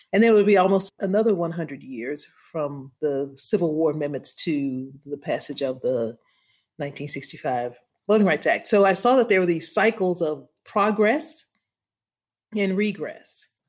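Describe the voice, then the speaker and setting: Someone with an American accent talks at a moderate pace with lively intonation. It is an unremarkable speaking voice. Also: woman, fairly low pitch for a woman. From US South, Louisiana. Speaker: law professor and voting rights expert. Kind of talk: interview.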